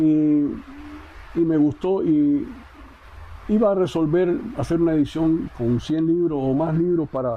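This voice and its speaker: A Cuban accent at a fairly slow pace, with very even loudness, ordinary pitch variation, and long, frequent pauses. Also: man, fairly high pitch for a man. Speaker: poet. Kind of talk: interview answer. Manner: conversational, direct.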